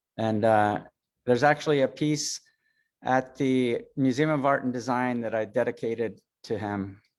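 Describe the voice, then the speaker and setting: A man at a medium pitch with fairly even intonation. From US, child of Swiss immigrants. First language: Swiss German. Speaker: metalsmith artist. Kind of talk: talk with slides. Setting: video call. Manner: halting.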